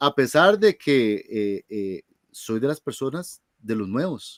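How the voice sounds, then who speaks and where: A man's pitch swings very widely. The recording is very clean, dry and close, with a silent background and no echo. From Costa Rica. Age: 40s. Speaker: music teacher and board game organizer. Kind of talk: interview.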